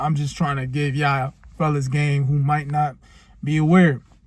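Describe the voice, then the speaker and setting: On a very clean recording with a silent background, a man speaks at a moderate pace in a somewhat breathy, fairly high voice with fairly even intonation. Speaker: self-improvement vlogger. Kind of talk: casual vlog monologue. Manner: casual, hesitant with repeated words.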